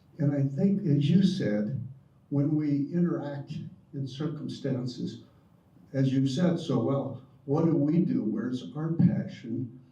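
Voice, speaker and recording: There is audible room echo as a man talks at a fairly slow pace. His pitch is fairly high, with ordinary variation. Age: 70s. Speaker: retired prison volunteer. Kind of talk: audience comment.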